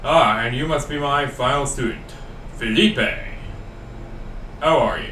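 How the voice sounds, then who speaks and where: Long, frequent pauses break up a put-on character voice delivered at a moderate pace with a slight echo. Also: man, fairly high pitch for a man. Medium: read story.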